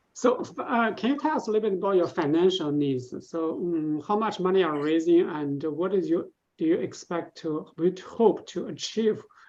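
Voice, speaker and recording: Someone with a non-native accent talks at a moderate pace with hardly any pauses. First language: not English. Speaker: pitch event judge. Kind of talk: Q&A after startup pitch.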